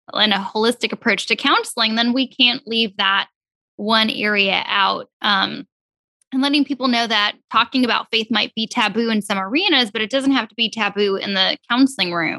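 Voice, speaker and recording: A woman's bright, sharp tone comes through at a fairly high pitch and moderate pace, with fairly even intonation and a dry, close sound with no echo. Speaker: counselor co-host. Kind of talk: podcast interview.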